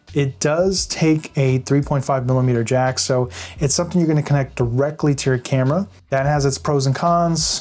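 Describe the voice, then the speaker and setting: A man speaks at a moderate pace, his pitch rising and falling in an ordinary way. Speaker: audio gear reviewer. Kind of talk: tutorial. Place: home room. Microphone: lapel.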